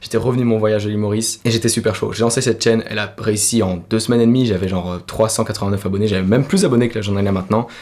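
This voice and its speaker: A man's fairly low voice, with fairly even intonation, races along at a very fast pace. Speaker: youtuber. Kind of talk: personal testimony.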